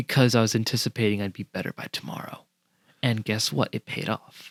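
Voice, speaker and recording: In a dry, close sound with no echo, a man speaks fairly quickly at a fairly low pitch, with vocal fry and ordinary pitch variation. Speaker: podcast co-host. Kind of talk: casual chat. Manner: quiet, can't speak loud.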